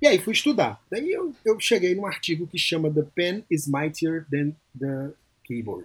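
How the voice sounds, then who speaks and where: Fairly slowly, a high-pitched man talks. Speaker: psychologist and podcaster. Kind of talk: casual interview chat.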